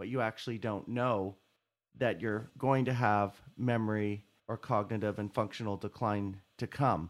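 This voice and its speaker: Moderately paced, the man's unremarkable speaking voice sits at a medium pitch and shifts in pitch as much as usual. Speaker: podcast host and doctor. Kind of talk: interview discussion on health topic. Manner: formal, explanatory.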